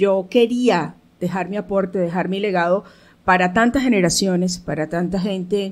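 The speaker is a woman with ordinary pitch variation. She talks at a moderate pace. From Caracas, Venezuela; Venezuela. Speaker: theatre director and producer; interview guest. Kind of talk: radio interview. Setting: radio studio. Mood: proud, reflective. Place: studio. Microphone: studio mic.

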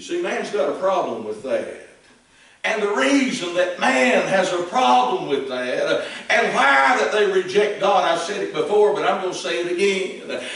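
A man's high-pitched voice with a Southern Appalachian accent, lively intonation and a moderate pace, plus audible room echo. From East Tennessee, Appalachia. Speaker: Baptist preacher. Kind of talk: old-fashioned fiery sermon. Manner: impassioned, emphatic, frequent amens. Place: church.

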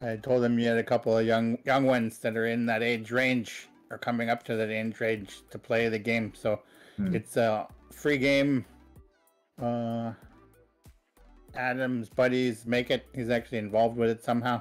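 At a moderate pace, a man speaks in a monotone, flat intonation with long, frequent pauses while faint music plays in the background. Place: home room.

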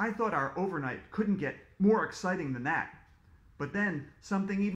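The voice carries a plain reading aloud.

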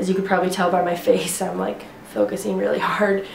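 A woman's fairly quick speech amid noticeable background noise. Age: 20s. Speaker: fitness vlogger. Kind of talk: casual vlog tutorial. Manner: rambly, filler words, casual.

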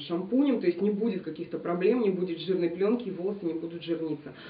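Speaking at a fairly quick pace, a woman uses ordinary pitch variation. There is audible room echo. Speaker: beauty blogger. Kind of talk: product review vlog. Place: home room.

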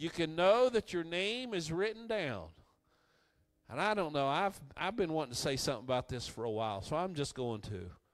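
A man keeps a moderate pace while faint music sounds in the background. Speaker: preacher. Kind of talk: sermon. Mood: warm, joyful, joking. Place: church. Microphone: handheld.

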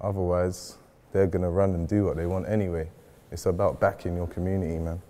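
A man with a very deep, low pitch and a dark, mellow tone talks at a very fast pace. His intonation is monotone and flat. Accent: London. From west London (North Kensington); London. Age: young. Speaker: community activist; panelist. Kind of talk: panel discussion. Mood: earnest, emotional. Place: hall.

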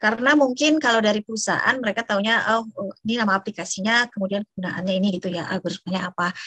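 The speech comes at a very fast pace. The sound is dry with no echo, and the background is quiet. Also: woman, ordinary pitch variation. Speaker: university lecturer. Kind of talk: online lecture. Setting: video call. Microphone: unstable internet connection, audio lag; video call.

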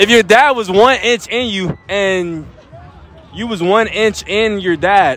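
Over faint crowd noise in the background, a man speaks at a slow pace. His pitch is high, with ordinary pitch variation. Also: fairly bright tone.

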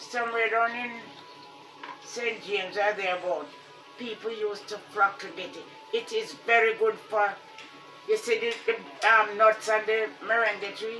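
A woman speaks at a fairly high pitch, with big swings in loudness and long, frequent pauses. Music plays in the background. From Jamaica. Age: 80s+. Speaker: retired teacher. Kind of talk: casual conversation about gardening. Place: home room. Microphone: phone near.

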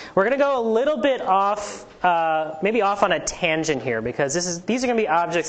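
A woman talks at a fairly quick pace. Her pitch swings very widely. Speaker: invited lecturer. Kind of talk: lecture. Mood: light, joking. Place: hall.

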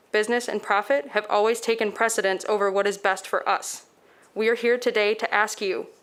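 A woman speaks at a moderate pace with a fairly high pitch and fairly even intonation. Hers is an ordinary speaking voice. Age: young. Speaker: public commenter, climate activist. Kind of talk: prepared public comment. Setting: city commission meeting. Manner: formal.

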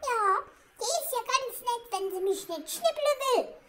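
Extremely high-pitched, this put-on character voice moves at a fairly slow pace. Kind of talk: comedic pet voice-over monologue. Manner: indignant, chatty.

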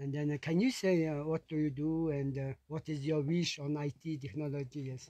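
With a Mongolian accent, a man speaks at a moderate pace with hardly any pauses, fairly even intonation and a dark, mellow tone, the sound dry with no echo and the background quiet. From eastern Mongolia. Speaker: host family interviewer. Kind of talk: casual interview. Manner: halting, many fillers. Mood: friendly, smiling. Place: tent. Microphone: phone near.

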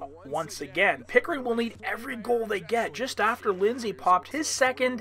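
A man projects his raised voice with lively intonation. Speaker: sports commentator. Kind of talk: live sports commentary / game highlights voiceover.

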